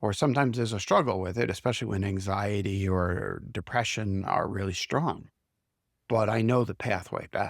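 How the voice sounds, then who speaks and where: A plain, everyday voice from a man at fairly low pitch, moderate pace and ordinary pitch variation, on a very clean recording with a silent background. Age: 60s. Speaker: CEO coach. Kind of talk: reflective interview conversation.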